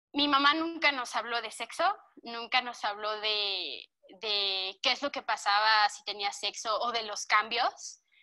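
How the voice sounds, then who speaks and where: On a very clean recording with a silent background, a woman with a central Mexican accent speaks fairly slowly in a fairly high, bright, sharp voice, her loudness swinging widely. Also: ordinary pitch variation. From Mexico, Cuernavaca, Morelos. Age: 20s. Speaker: interviewee. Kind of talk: testimony.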